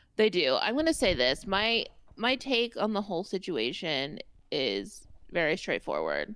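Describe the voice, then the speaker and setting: On a very clean recording with a silent background, a woman speaks at a moderate pace with a slight Indiana accent. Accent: Indiana Midwestern, slight. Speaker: podcast co-host. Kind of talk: casual chat. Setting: in person, same room.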